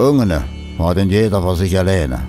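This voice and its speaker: Very deep, low-pitched male voice with a Mansfeld accent, lively intonation and a moderate pace, music playing behind. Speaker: narrator. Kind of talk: documentary film narration.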